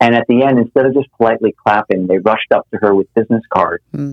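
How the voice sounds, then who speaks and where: Here a man speaks at a fairly quick pace. His pitch sits at a medium level with ordinary variation. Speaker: communications expert. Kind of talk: interview conversation.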